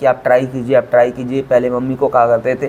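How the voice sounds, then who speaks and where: A man speaks over noticeable background noise. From Chhattisgarh, India (Raigarh). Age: 30s. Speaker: quiz show contestant, government employee. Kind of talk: interview. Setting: sitting face to face.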